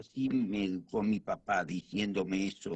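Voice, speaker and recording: Very slow pacing marks this man's speech. His pitch varies in an ordinary way. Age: 70s. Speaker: guest. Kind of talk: casual chat.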